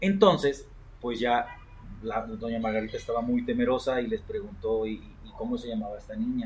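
A man speaks with a Mexican accent. Noticeable background noise runs behind him. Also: moderate pace. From Mexico, Coatepec, Veracruz. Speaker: podcast host. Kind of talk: storytelling. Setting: rooftop.

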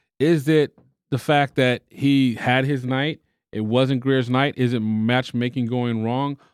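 A man's medium-pitched voice with an American accent, very slow and monotone, with flat intonation. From Texas. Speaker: boxing podcast co-host. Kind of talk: casual chat.

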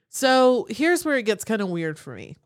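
The recording is very clean, with a silent background. A woman with an Appalachian accent talks at a fairly quick pace with very wide pitch swings. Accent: Southern US (Appalachian). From Western North Carolina. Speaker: podcast co-host. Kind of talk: casual chat.

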